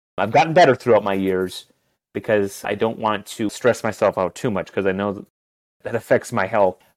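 A man talks at a moderate pace with an Upper Peninsula Michigan accent. The sound is dry and close, with no echo. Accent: Upper Midwest American (Yooper). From Upper Peninsula of Michigan. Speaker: teacher and youth worker. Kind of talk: interview.

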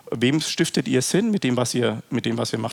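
Over noticeable background noise, a man with a medium pitch speaks at a fairly quick pace. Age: 40s. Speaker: company executive. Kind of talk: interview.

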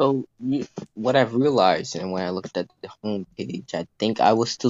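A man in a normal speaking voice at medium pitch. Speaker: online sports sim league player. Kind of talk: casual chat. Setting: phone call. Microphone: phone mic.

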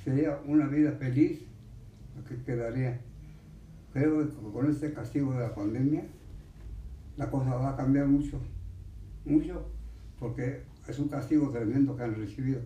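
A man with a dark, mellow tone and medium pitch speaks fairly slowly, somewhat breathy, with fairly even intonation. Long, frequent pauses break his speech, and the room echo is audible. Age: 80s+. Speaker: centenarian interviewee. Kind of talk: interview.

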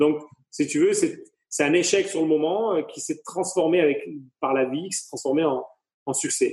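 Long, frequent pauses break up speech that proceeds at a fairly slow pace. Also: man. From southern France, Avignon. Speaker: hairdresser and entrepreneur. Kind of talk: interview. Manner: halting, many repetitions and fillers.

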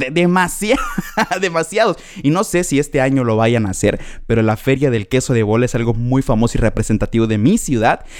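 Over music in the background, a man talks at a fairly quick pace in an animated tone, his medium-pitched voice lively in intonation and very even in loudness. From Mexico, Chetumal, Quintana Roo. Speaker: podcast host. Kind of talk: casual monologue.

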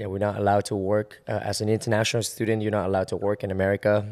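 A man speaks with a Vietnamese accent at a fairly low pitch. His intonation is monotone and flat. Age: 20s. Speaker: choreographer. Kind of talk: casual interview chat. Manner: casual, hesitant.

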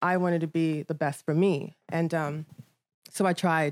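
A woman with an American accent has an unremarkable speaking voice, fairly low in pitch with fairly even intonation. The sound is dry and close with no echo, on a very clean recording with a silent background. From Nigeria, then London, New York, Maryland and Virginia. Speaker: modeling agency owner. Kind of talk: casual chat.

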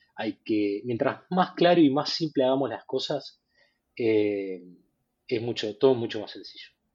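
Speaking at a very slow pace, a man of medium pitch uses lively intonation and big swings in loudness. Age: 40s. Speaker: fintech product executive. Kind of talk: casual interview. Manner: halting, many repetitions.

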